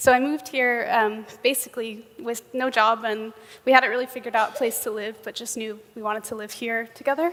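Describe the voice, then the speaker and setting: A woman with a New York accent speaks at a fairly quick clip in a fairly high pitch, her loudness swinging widely. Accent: American (New York). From US, New York. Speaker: software engineer, conference speaker. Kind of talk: conference keynote talk. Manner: frequent um fillers.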